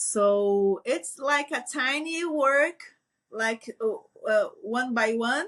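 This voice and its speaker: Speaking at a very slow pace with a Portuguese accent, a woman uses a high pitch that swings very widely. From Brazil. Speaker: veterinarian. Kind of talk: interview conversation. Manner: halting, hesitant.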